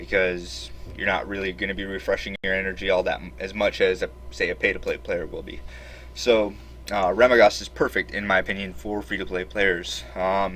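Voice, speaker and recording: This man's pitch is very deep and low, with very wide swings and vocal fry. He talks at a fairly quick pace. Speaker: gaming YouTuber. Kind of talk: game tutorial. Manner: hesitant, many fillers.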